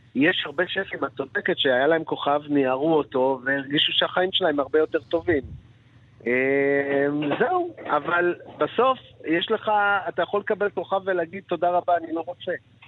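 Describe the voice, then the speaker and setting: Delivered at a moderate pace, the voice shows ordinary pitch variation. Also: man, high pitch for a man. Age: 60s. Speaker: chef. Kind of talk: interview.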